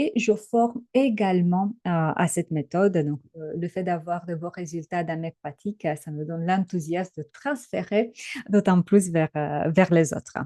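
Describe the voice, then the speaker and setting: A woman with a slight Romanian accent speaks at a fairly slow pace in a dark, mellow tone, fairly low in pitch with ordinary pitch variation. The sound is dry and close with no echo, over a quiet background. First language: Romanian (speaking French). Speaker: trainer and coach. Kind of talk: webinar presentation. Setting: online webinar. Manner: hesitant, many filler sounds.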